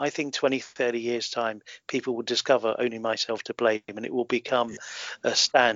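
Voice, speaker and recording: This man talks in a southern English accent at a moderate pace. His pitch is medium and his intonation fairly even. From London, England. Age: 40s. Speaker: film consultant and author. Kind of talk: interview.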